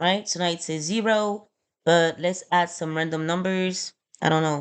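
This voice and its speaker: A woman's fairly low-pitched voice. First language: not English. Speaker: small trucking business owner. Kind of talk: screen-recorded spreadsheet tutorial. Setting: screen recording on laptop. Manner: casual, hesitant with fillers.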